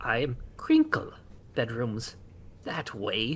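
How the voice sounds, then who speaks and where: The pace is very slow in this put-on character voice. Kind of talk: terse. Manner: choppy, disjointed.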